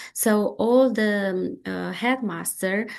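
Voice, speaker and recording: In a Romanian accent, a woman speaks at a very slow pace against a quiet background. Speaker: education researcher. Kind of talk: lecture. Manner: halting, many fillers.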